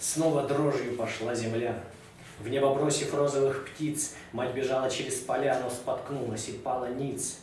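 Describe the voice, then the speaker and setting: Amid noticeable background noise and audible room echo, a man at medium pitch talks at a fairly slow pace with monotone, flat intonation. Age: young. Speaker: poet. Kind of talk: poetry reading.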